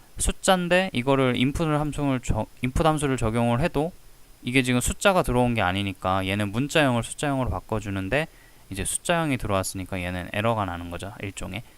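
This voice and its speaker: Talking at a very fast pace, a man moves through very wide pitch swings. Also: medium pitch for a man. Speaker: statistics tutor. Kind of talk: tutorial. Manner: speeds up when explaining.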